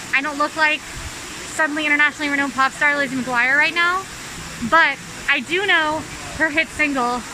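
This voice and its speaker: With noticeable background noise, a woman in a raised, projected voice speaks at a high pitch and a fairly quick pace, with ordinary pitch variation and long, frequent pauses. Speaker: video host. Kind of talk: casual vlog chat. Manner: fast.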